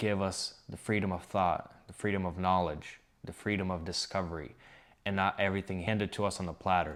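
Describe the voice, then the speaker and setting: A man's very deep, low voice in a monotone, flat intonation with a non-native accent, at a moderate pace on a very clean recording with a silent background. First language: not English. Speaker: book reviewer. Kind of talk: casual book review. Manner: hesitant, many fillers.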